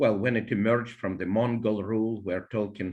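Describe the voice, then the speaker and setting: Here a man speaks with a Russian accent at a medium pitch. The background is quiet. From Russia, born in Ukraine. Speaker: biology professor and poet. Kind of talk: interview, explanatory history talk. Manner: hesitant with frequent fillers.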